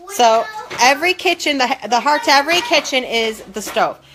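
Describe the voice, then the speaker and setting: Over noticeable background noise, a woman speaks with very wide swings in pitch. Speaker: mom vlogger. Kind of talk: casual vlog house tour rant. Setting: at home in her kitchen, filmed on a tripod. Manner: fast.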